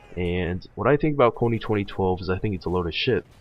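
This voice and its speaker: Music plays in the background as a man talks at a fairly quick pace. His pitch is very deep and low, with ordinary pitch variation. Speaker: gaming commentator. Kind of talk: gameplay commentary rant. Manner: hesitant, many fillers.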